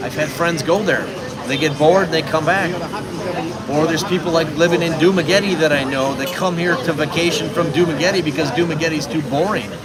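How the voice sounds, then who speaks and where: A man with an American accent talks at a fairly quick pace in a fairly high pitch, with noticeable background noise and audible room echo. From United States. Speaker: live-stream vlogger. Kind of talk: casual live-stream chat.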